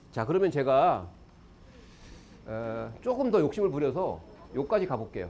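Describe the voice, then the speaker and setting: A man's fairly high voice, dark and mellow, with vocal fry, very wide pitch swings, long, frequent pauses and audible room echo. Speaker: education lecturer. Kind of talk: lecture. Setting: stage with audience. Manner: fast.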